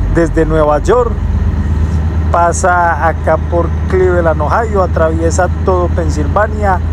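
Speaking at a very slow pace, a man comes through with noticeable background noise and a dry sound with no echo. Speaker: truck driver vlogger. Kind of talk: casual vlog chat. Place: car. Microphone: phone near.

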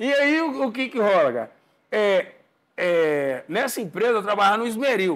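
Against a quiet background, a man talks at a high pitch with very wide pitch swings. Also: moderate pace. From Brazil. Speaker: house painter and percussionist; podcast guest. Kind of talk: casual chat. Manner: halting. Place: studio. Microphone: lapel.

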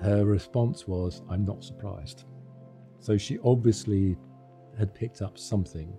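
A man's fairly low voice at a moderate pace, with long, frequent pauses and faint music behind. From United Kingdom. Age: old. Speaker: interviewee. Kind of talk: interview answer. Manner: candid, reflective. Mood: reflective, personal. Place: studio. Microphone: studio mic.

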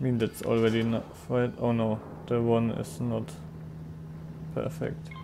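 A man's medium-pitched voice with long, frequent pauses and music in the background. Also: ordinary pitch variation, moderate pace. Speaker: streamer. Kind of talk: casual gameplay commentary.

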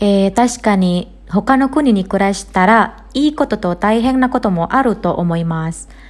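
A woman talks at a fairly slow pace with an Indonesian accent. Her voice is somewhat breathy, with lively intonation. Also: medium pitch for a woman, hardly any pauses. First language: Indonesian (speaking Japanese). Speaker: Japanese language teacher. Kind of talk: podcast monologue for learners.

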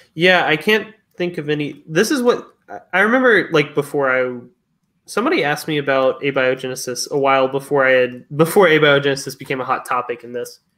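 Fairly high in pitch, this man's voice has a bright, sharp tone. He moves at a fairly quick pace with ordinary pitch variation. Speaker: science discussion panelist. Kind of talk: casual science discussion.

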